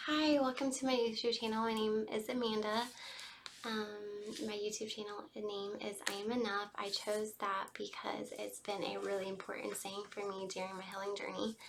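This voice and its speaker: Over noticeable background noise, a woman with an American accent speaks at a moderate pace, her fairly high pitch following fairly even intonation. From US South, Georgia. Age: 20s. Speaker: vlogger sharing personal story. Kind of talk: personal testimony. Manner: unscripted, conversational with fillers.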